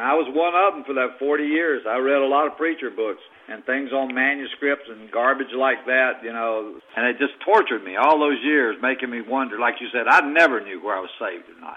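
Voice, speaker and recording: The speaker moves at a fairly quick pace with ordinary pitch variation and big swings in loudness, over noticeable background noise. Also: man, medium pitch for a man. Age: 70s. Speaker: caller. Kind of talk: casual testimony. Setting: phone call.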